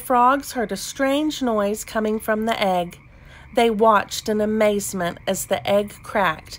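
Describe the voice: Text read aloud plainly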